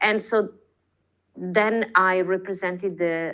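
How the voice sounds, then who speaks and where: Speaking with an Italian accent, a woman keeps a fairly low pitch and fairly even intonation. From northern Italy, Padua countryside. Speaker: artist. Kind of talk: casual interview chat. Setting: podcast. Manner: halting, many fillers.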